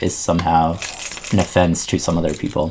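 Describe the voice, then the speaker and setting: A man's voice against noticeable background noise. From India. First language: Indian language, not English. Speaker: zine fest director and teacher. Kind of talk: casual interview chat. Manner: halting, many fillers.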